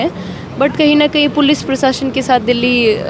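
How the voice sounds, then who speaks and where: A woman speaks with a high pitch over noticeable background noise. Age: 20s. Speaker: student politician. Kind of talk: interview. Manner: hesitant with fillers.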